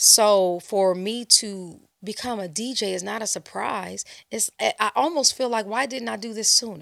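A woman with a plain, everyday voice speaks with an American accent at a medium pitch, using ordinary pitch variation. Her loudness swings a lot, and the recording is very clean with a silent background. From Los Angeles, California. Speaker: DJ and club brand ambassador. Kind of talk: casual interview.

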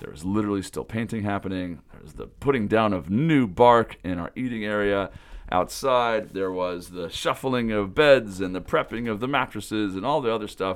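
On a very clean recording with a silent background, a man with an American accent talks at a moderate pace in a fairly low pitch, with big swings in loudness and hardly any pauses. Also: ordinary pitch variation. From US Pacific Northwest (Pullman, Washington). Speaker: summer camp director and podcast host. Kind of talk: podcast monologue report.

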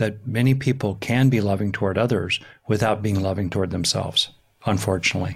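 Over a silent background on a very clean recording, a man speaks at a moderate pace with lively intonation and a somewhat breathy quality. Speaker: psychologist and author. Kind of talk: interview conversation.

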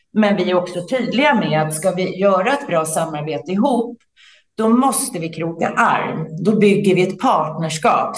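A woman's medium-pitched voice moves at a moderate tempo, varying in pitch in an ordinary way. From Sweden, Stockholm area. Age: 50s. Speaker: entrepreneur and business leader. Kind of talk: interview. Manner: hesitant, many fillers.

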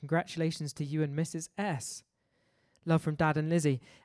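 A woman speaks in a very deep, low pitch, with a dry, close sound and no echo. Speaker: radio DJ. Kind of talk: live radio DJ patter, show intro. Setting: radio studio. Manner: casual, joking, self-referential.

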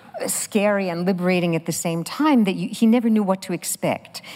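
Her speech holds a medium pitch and a moderate pace, delivered by a woman in a normal speaking voice. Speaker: film talk moderator. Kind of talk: onstage interview. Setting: stage with live audience.

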